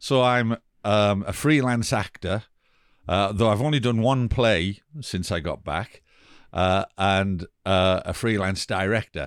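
Speaking at a very slow pace with an English accent, a man has a fairly low pitch and ordinary pitch variation, recorded very cleanly against a silent background with a dry, close sound and no echo. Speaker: theatre director and actor. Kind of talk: casual interview.

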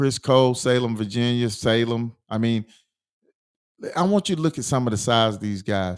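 A man speaks at a moderate pace in a medium pitch with ordinary pitch variation, in an unremarkable speaking voice. The recording is very clean, with a silent background. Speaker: sports talk host. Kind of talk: casual sports talk banter. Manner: casual, joking.

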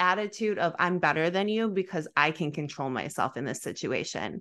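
A woman's bright, sharp voice with an American accent, medium pitch and ordinary pitch variation, against a quiet background. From US Midwest. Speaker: fitness podcast host. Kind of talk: casual chat. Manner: soft-spoken.

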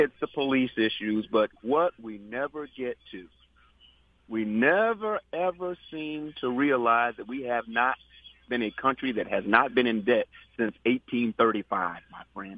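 With an American accent and an unremarkable speaking voice, a man talks at a fairly slow pace and medium pitch, using lively intonation and big swings in loudness. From New York. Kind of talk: phone-in commentary.

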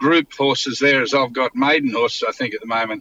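A man with a rural Queensland accent speaks at a fairly high pitch with fairly even intonation. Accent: Australian (rural Queensland). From Queensland, Australia (Mitchell, Toowoomba). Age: 60s. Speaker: racehorse trainer. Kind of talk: interview. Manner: halting, many fillers and repetitions.

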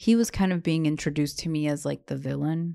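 Ordinary pitch variation in a woman's voice, an ordinary speaking voice. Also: very clean recording, silent background. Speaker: podcast co-host. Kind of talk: casual chat recapping a TV show.

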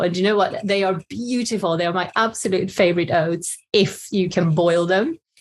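A woman's somewhat breathy, medium-pitched voice with a Swedish accent, at a fairly quick pace, against a quiet background. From Sweden. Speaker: cookbook author. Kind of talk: casual interview.

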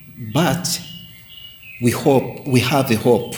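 A man talks at a very slow pace with ordinary pitch variation. Noticeable background noise is present. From Rwanda, Southern Province. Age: 50s. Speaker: pastor. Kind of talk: interview. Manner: halting.

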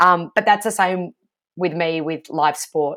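In a very clean recording with a silent background, a woman with a fairly low pitch speaks with an Australian accent. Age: 30s. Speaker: sports broadcaster. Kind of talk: interview.

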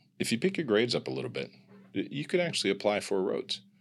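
Recorded very cleanly against a silent background, a man with an American accent speaks at a fairly low pitch with vocal fry. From US Midwest, Kansas City. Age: 50s. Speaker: executive coach. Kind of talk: interview conversation.

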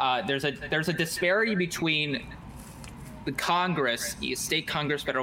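The man's fairly quick speech, with ordinary pitch variation, comes through noticeable background noise. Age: young (19). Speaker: college student and political organizer. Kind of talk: interview. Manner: halting, repeats words. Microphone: hears own echo.

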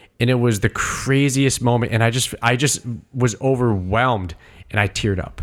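A man's medium-pitched voice at a moderate pace, with fairly even intonation: an ordinary speaking voice. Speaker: podcast co-host. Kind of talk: casual chat.

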